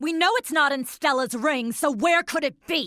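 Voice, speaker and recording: In a very clean recording with a silent background, a female-sounding put-on character voice growls at a high pitch and a moderate pace. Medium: video game. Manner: sneering.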